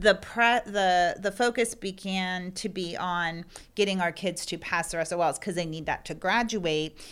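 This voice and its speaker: At a fairly slow pace, a woman with a medium pitch and an American accent speaks in a plain, everyday voice. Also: fairly even intonation. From Pennsylvania. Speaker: learning center owner, former teacher. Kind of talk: interview. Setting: on location at her business.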